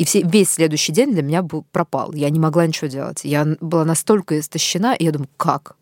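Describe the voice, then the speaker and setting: A woman with a fairly low pitch and an ordinary speaking voice. The sound is dry and close with no echo, a very clean recording against a silent background. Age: 30s. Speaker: podcast host. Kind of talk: interview.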